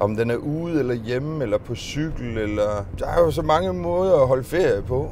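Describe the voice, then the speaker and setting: Lively intonation marks an ordinary speaking voice at a fairly slow pace. The sound is dry with no echo, over light background noise. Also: man. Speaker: van driver vlogger. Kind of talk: casual vlog chat. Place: car. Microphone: phone near.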